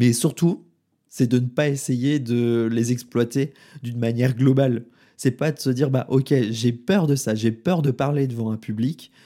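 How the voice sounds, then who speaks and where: A man with a medium-pitched voice and a dark, mellow tone speaks at a moderate pace with fairly even intonation on a very clean recording with a silent background. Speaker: podcast host and intuitive consultant. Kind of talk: solo podcast monologue. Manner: slight stutter, improving; casual with filler words.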